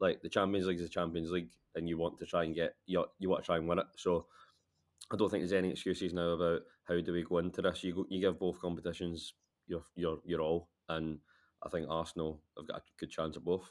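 Very fast and monotone, a man speaks in a Glaswegian accent with a very deep, low pitch. The recording is very clean, with a silent background. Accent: Glaswegian Scottish. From Scotland, Glasgow. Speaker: football journalist. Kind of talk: casual chat.

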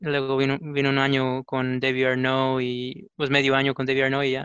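In a very clean recording with a silent background and a dry, close sound with no echo, a man speaks at a moderate pace and medium pitch with a bright, sharp tone and monotone, flat intonation. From Houston area, Texas. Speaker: soccer fan. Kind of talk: casual sports chat.

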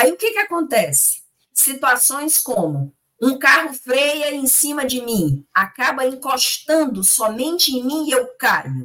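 A woman projects a raised voice at a high pitch with a bright, sharp tone. She speaks at a very slow pace. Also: lively intonation. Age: 50s. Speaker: spiritist lecturer. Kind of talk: religious study discussion.

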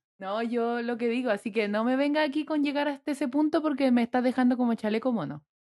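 With a Chilean accent, a woman speaks very fast with hardly any pauses, at a high pitch with ordinary pitch variation and a dark, mellow tone. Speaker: podcast co-host. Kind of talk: casual chat.

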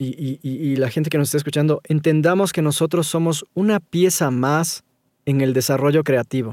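A man with a normal speaking voice, fairly high in pitch, his intonation fairly even at a moderate pace. The recording is very clean with a silent background and a dry, close sound with no echo. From Ecuador. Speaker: voice-over artist. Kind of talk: interview conversation.

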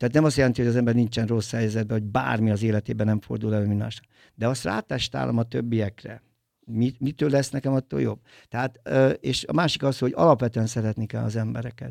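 A man rattles along at a very fast pace, the sound dry and close with no echo on a very clean recording with a silent background. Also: medium pitch for a man, ordinary pitch variation. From Tolna county, Hungary. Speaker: film producer and DJ. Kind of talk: casual interview. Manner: halting, many fillers.

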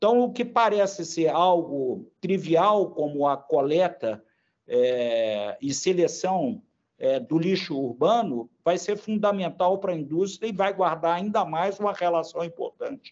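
A man talks at a fairly slow pace with lively intonation. His pitch is high for a man. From Brazil, Belo Horizonte, Minas Gerais. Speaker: industry association president. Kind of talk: interview. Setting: podcast. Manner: halting, many fillers.

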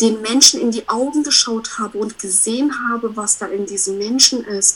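Over noticeable background noise, a woman speaks with fairly high pitch and lively intonation. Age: 30s. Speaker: self-employed coach. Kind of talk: casual interview chat. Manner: animated.

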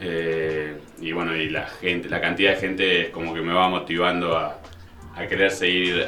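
Over music in the background, a man with an Argentine accent speaks in a very deep, low, monotone voice with flat intonation, and the room echo is audible. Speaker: elite pelota paleta player. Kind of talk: interview.

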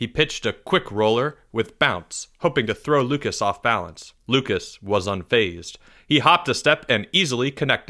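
What you hear is a natural reading voice.

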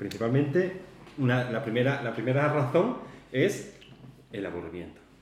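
With audible room echo and noticeable background noise, a man talks at a moderate pace. His pitch is medium, with very wide pitch swings. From Spain, Málaga. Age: 30s. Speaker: podcast co-host, warehouse worker. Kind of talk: casual chat.

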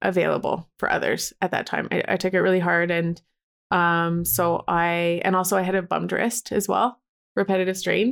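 A woman with a plain, everyday voice and a Canadian accent, medium pitch and a moderate pace, in a very clean recording with a silent background. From Alberta, Canada. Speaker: joy coach and photographer. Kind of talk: interview.

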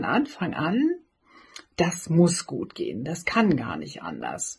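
Speaking at a very slow pace, a woman uses a fairly low pitch. Her voice has vocal fry. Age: 50s. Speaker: blogger and author, cancer survivor. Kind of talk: personal message of encouragement.

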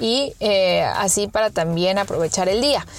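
With lively intonation, a woman speaks at a moderate pace over noticeable background noise. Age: 30s. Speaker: podcast host. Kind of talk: casual monologue.

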